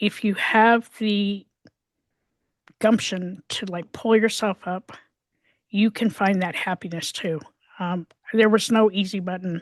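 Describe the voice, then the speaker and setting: Speaking at a fairly slow pace with long, frequent pauses, a woman uses a medium pitch and fairly even intonation. The sound is dry and close with no echo, over a quiet background. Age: 60s. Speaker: mental health advocate and podcast co-host. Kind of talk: interview.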